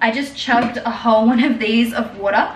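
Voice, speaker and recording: A woman with an Australian accent and a fairly high pitch speaks amid noticeable background noise and audible room echo. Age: 20s. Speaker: lifestyle vlogger. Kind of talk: casual vlog talk to camera.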